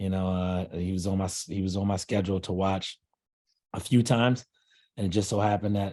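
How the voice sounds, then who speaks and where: A man with an American accent talks at a very fast pace. His fairly low pitch has a dark, mellow tone. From Philadelphia. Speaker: college basketball head coach. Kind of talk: casual interview.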